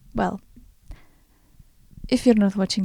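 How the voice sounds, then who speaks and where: A woman's somewhat breathy, dark, mellow voice at medium pitch, with a dry, close sound and no echo. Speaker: podcast host and artist. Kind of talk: unscripted solo podcast talk. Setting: home recording in front of window. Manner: hesitant, many fillers.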